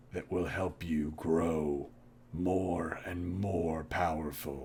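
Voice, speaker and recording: Putting on a character voice, a man speaks very slowly in a very deep, low, raspy voice with a calm tone amid clear background noise. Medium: actual play. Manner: calm, measured.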